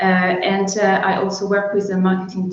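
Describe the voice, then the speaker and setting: A woman with a French accent talks at a medium pitch and a fairly slow pace. Room echo and background noise are both audible. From France. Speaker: sales and marketing director. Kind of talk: webinar interview. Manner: halting, many fillers.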